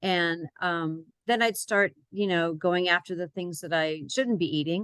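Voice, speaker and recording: With a normal speaking voice, a woman talks at a fairly slow pace in a fairly low pitch with ordinary pitch variation, the sound dry and close with no echo. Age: 60s. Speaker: health program client. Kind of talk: testimony.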